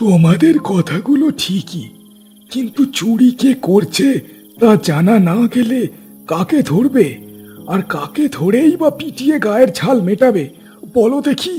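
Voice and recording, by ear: Doing a cartoonish character voice, a man speaks high in pitch with very wide pitch swings at a fairly slow pace, with clear music in the background.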